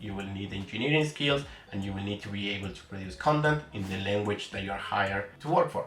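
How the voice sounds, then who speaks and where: Very fast speech from a man, with audible room echo and noticeable background noise. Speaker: developer advocate and YouTuber. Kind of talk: explainer video.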